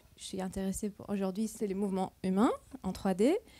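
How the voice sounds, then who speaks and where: A woman's dark, mellow voice comes through on a very clean recording with a silent background. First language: not French (speaking French). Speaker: computer vision researcher, keynote speaker. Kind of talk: conference keynote talk. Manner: halting, searching for words.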